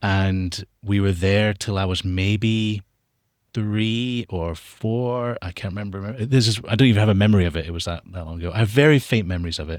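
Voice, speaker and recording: A man's fairly low voice at a moderate pace, with ordinary pitch variation and a very clean recording over a silent background. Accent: American. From international upbringing (Australia, Dubai, US). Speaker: documentary filmmaker. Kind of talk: interview conversation.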